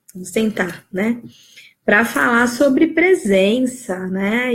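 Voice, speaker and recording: A woman speaks very slowly at a fairly high pitch. Her voice is somewhat breathy. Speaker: life coach. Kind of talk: live stream talk. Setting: live video stream.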